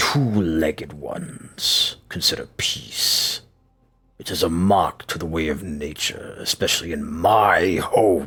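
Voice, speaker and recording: A man's bellowing, put-on character voice, fairly low in pitch. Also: fairly slow pace. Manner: roaring, speaking in a very weird voice.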